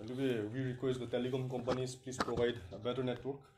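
There is light background noise and audible room echo. A man speaks at a fairly quick pace. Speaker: interviewer. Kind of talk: live interview. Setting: live video stream with poor network. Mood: apologetic. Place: studio. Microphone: camera far.

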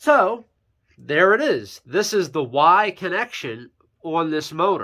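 A high-pitched man with lively intonation, against a quiet background. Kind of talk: tutorial.

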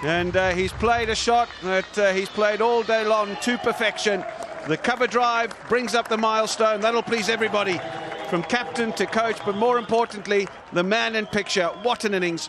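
Over crowd noise in the background, a man with a high pitch speaks at a moderate pace with fairly even intonation. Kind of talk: live cricket commentary. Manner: rising, celebratory tone at milestones.

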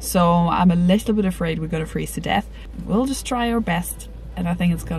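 Dry sound with no echo and light background noise. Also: woman. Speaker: travel vlogger. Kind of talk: casual vlog chat. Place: car. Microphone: phone near.

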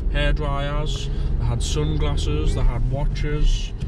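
A man talks over loud background noise. His voice sounds dry, with no echo. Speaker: vlogger driving. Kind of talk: casual vlog chat. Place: car. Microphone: phone near.

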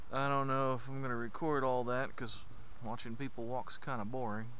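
With light background noise and a dry sound with no echo, a man talks at a moderate pace. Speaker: parent hiking vlogger. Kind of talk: casual vlog chat. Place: beach. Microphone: helmet.

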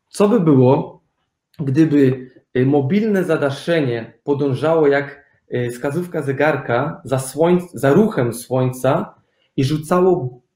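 A man speaks very slowly in a fairly high pitch with ordinary pitch variation and a dark, mellow tone. His voice is somewhat breathy, and the room echo is audible. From Germany. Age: young. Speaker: architect; guest. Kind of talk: interview. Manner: hesitant, with fillers. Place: home room.

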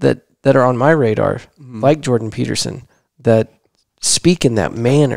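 A man with an American accent talks at a moderate pace and medium pitch, with ordinary pitch variation and long, frequent pauses, over a quiet background in a dry sound with no echo. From Texas. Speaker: podcast host. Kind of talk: casual chat. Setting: home living room. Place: studio. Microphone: headset.

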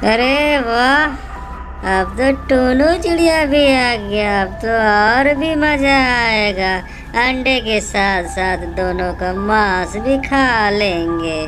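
In a put-on character voice that sounds female, someone speaks very slowly at a fairly high pitch, with loud noise behind.

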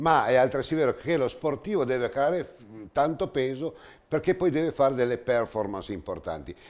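A man talks at a fairly quick pace in a fairly high voice. His pitch varies in an ordinary way. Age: 60s. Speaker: TV host. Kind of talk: TV interview. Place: studio. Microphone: lapel.

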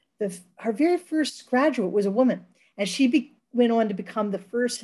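The woman's voice has a somewhat breathy quality. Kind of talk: presentation. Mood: proud, upbeat. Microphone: webcam.

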